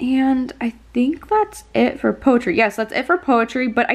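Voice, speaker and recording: A woman's fairly high voice at a moderate pace. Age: 20s. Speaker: booktube vlogger. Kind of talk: casual vlog. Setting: in her bedroom. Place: home room. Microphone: phone near.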